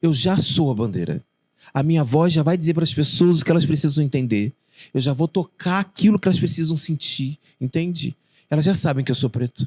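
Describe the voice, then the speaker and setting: A man with a fairly high, somewhat breathy voice talks at a fairly quick pace, the sound dry and close with no echo. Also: ordinary pitch variation. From Rio de Janeiro, Realengo (West Zone). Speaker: poet and children's author. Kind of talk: interview conversation.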